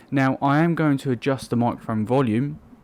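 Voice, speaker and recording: A quiet man at a fairly quick pace, ordinary in pitch variation, on a very clean recording with a silent background. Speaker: tech reviewer. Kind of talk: product review. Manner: speaking quietly.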